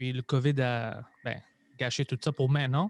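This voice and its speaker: The man's voice comes through with a dry, close sound, no echo, and a quiet background. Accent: non-native. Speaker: stand-up comedian and podcaster. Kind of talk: casual interview chat.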